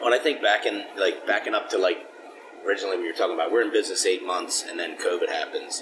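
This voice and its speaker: A man with an American accent talks against noticeable background noise. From Philadelphia. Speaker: craft distillery co-owner. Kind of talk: casual interview. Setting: at a distillery.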